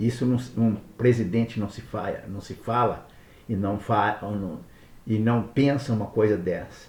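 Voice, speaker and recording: A man speaks at medium pitch with a somewhat breathy sound. His pace is fairly slow. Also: fairly even intonation. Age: 70s. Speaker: political commentator. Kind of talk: monologue. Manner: halting.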